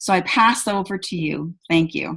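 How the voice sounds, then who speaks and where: This woman's voice is somewhat breathy, with a medium pitch. Her pitch varies in an ordinary way. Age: 60s. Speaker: event host. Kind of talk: online presentation.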